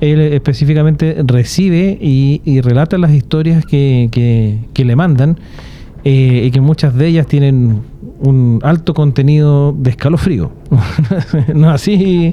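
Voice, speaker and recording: A man talks with a Chilean accent, ordinary pitch variation and very even loudness. Noticeable background noise is present. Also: fairly high pitch for a man, fairly slow pace. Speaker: podcast host. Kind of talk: casual chat.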